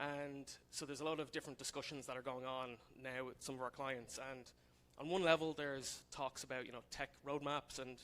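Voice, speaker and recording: With an Irish accent, a man speaks fairly quickly in a fairly high voice with monotone, flat intonation. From Ireland, Dublin. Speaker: software consultant, conference speaker. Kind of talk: conference talk. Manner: casual, many fillers.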